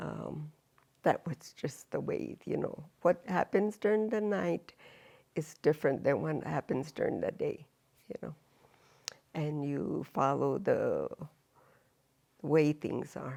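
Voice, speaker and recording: A woman talks at a very slow pace, with long, frequent pauses. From Jicarilla Apache reservation, New Mexico. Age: 70s. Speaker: elder and language teacher. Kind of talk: oral history interview. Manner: hesitant, with fillers.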